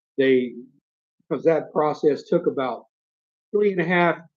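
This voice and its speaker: A man with a strong Southern US accent speaks at a moderate pace. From US South, rural north Florida. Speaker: YouTuber, expat vlogger. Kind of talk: live stream Q&A. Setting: live stream. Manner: casual, conversational.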